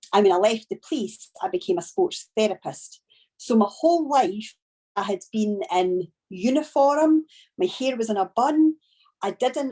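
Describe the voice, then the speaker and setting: A woman with a strong Scottish accent, a dark, mellow tone and very wide pitch swings, at a fairly slow pace, with a dry, close sound with no echo. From Scotland. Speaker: network marketing trainer. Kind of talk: training talk. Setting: video call.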